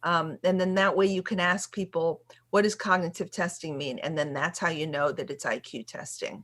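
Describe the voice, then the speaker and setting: A woman with an ordinary speaking voice and fairly low pitch talks at a moderate pace with hardly any pauses. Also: ordinary pitch variation, very clean recording, silent background. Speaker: special education attorney. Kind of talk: workshop Q&A.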